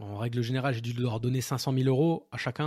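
Fairly even in intonation, a man delivers his words at a moderate pace and a medium pitch. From Alsace, France. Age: 30s. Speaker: nurse and property investor. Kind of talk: interview. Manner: casual, hesitant with fillers.

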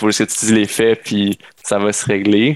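A man's fairly low, monotone voice with flat intonation in a Quebec accent, at a moderate pace on a very clean recording with a silent background. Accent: Québécois French. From Quebec, Sherbrooke. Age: 20s. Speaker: entrepreneur. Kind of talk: casual interview.

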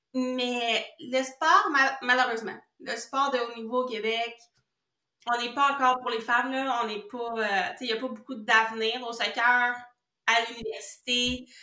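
A woman with a high pitch and a bright, sharp tone talks at a fairly slow pace, her intonation fairly even but her loudness swinging widely. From Quebec. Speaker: kinesiologist. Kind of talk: casual interview chat. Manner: stutter.

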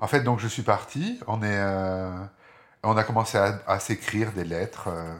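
This man has a fairly low voice, ordinary pitch variation and a moderate pace. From southern France (Marseille, Aix-en-Provence, Nice). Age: 50s. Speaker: interviewee telling his life story. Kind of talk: personal testimony. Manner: halting, many hesitations.

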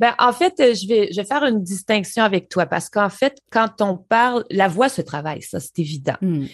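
The speaker has a slight Quebec accent. The pitch swings very widely. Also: woman, medium pitch for a woman, moderate pace, hardly any pauses, quiet background. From rural Quebec. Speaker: voice specialist. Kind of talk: interview. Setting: remote call from Montreal.

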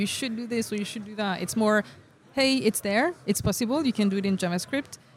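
Talking very fast, a woman varies her pitch in an ordinary way. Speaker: software developer advocate. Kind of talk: interview. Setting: tech conference.

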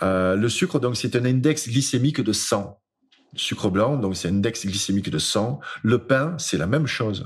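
A man speaks fairly slowly in a medium-pitched, somewhat breathy voice with lively intonation. The background is quiet. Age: 50s. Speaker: speaker and author. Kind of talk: casual interview.

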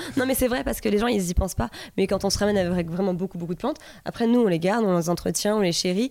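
Her tone is dark and mellow, with ordinary pitch variation. This woman talks at a very fast pace. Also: medium pitch for a woman, very even loudness. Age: 30s. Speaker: plant seller, former nurse. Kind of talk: casual chat.

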